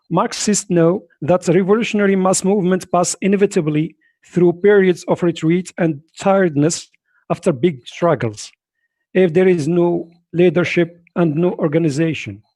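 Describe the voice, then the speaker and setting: Speaking at a moderate pace in a strong non-native accent, a man has a high pitch, a dark, mellow tone, ordinary pitch variation and very even loudness. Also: very clean recording, silent background. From Morocco. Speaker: political activist. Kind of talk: conference speech. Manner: halting.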